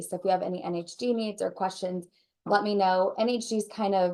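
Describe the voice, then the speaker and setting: A woman's voice with a dark, mellow tone. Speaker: home warranty sales rep. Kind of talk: presentation at a training session. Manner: fast; animated.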